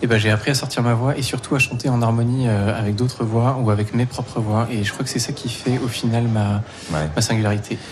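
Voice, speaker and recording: Fairly quick, fairly even speech from a man over noticeable background noise. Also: medium pitch for a man. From Provence. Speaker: singer. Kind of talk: casual interview.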